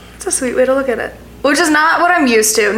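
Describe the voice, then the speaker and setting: A woman with an American accent talks at a very fast pace in an animated tone. Noticeable background noise runs underneath. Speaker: podcast host. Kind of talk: casual chat. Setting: in a family home in Dallas.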